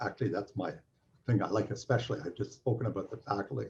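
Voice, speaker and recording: Heard with a dark, mellow tone and vocal fry, a man talks in a Canadian accent. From Canada. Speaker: physics professor. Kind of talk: welcome talk. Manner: halting, many fillers.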